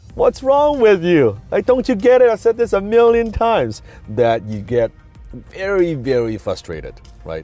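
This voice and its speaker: There is music in the background as a man talks at a moderate pace. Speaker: entrepreneur and public speaker. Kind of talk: motivational talk to camera.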